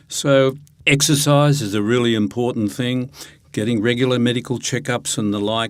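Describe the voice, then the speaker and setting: Speaking in an Australian accent, a man keeps a moderate tempo. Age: 70s. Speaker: retirement coach and financial planner. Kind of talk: interview.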